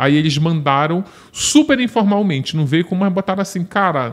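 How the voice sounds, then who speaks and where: A man at a moderate pace. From Brazil, Belém do Pará; Pará, Brazil. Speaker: journalist and true-crime author; journalist. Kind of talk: casual chat. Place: studio. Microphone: studio mic.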